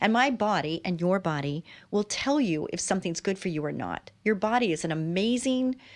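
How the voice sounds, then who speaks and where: A woman with a plain, everyday voice talks at a moderate pace with medium pitch and lively intonation, on a very clean recording with a silent background. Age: 60s. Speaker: talk show host. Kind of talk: casual interview chat.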